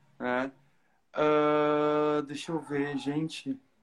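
Over music in the background, a man speaks at a fairly high pitch. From southern Brazil, Porto Alegre. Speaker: cosplayer. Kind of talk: casual chat.

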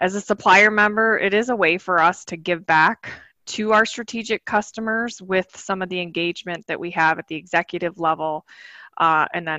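A woman with an American accent in a normal speaking voice, fairly low in pitch, at a moderate pace with ordinary pitch variation. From Michigan. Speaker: hardware company executive. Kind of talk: business interview.

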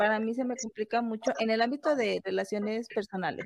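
A woman with a Mexican accent, fairly high in pitch, at a fairly quick pace with fairly even intonation, in a dry, close sound with no echo. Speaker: podcast co-host. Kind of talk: casual chat.

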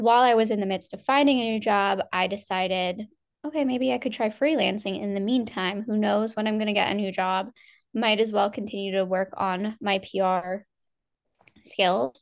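Against a quiet background, a woman with an American accent uses an ordinary speaking voice with ordinary pitch variation. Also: medium pitch for a woman, moderate pace. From US Northeast. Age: 20s. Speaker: PR agency founder. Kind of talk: interview conversation.

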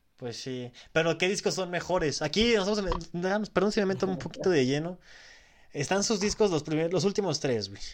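A man's high voice with ordinary pitch variation at a moderate pace. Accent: Mexican. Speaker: podcast host. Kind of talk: casual chat.

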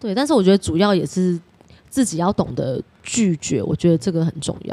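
A woman speaks at a moderate pace in a fairly low voice with a dark, mellow tone. Her pitch swings very widely and her loudness rises and falls sharply. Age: 30s. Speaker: former hostess. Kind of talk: interview.

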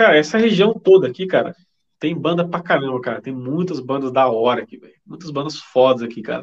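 An ordinary speaking voice moves at a fairly quick pace. Its loudness swings widely. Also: man, fairly high pitch for a man. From Brazil, interior of São Paulo state (Vale do Paraíba). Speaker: metal band drummer. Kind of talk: casual chat.

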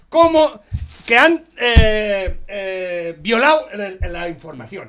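A man's raised, projected voice has a bright, sharp tone. His pitch swings very widely. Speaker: radio host. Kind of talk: casual chat.

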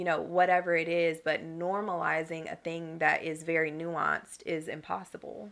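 A woman speaks at a moderate pace with an American accent. Her intonation is monotone and flat, with hardly any pauses. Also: fairly low pitch for a woman. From North Carolina (Fayetteville area). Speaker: wellness professional and fitness instructor. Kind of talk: interview.

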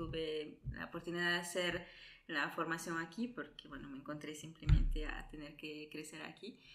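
Amid audible room echo, a woman speaks at a fairly slow pace in a fairly low pitch. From Italy, born in Peru. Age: 20s. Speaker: nurse. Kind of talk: interview.

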